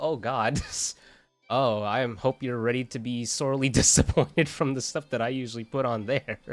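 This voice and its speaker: Music in the background behind a man speaking at a medium pitch. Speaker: vtuber streamer. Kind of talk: casual gameplay commentary. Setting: live stream. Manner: halting, self-interrupting.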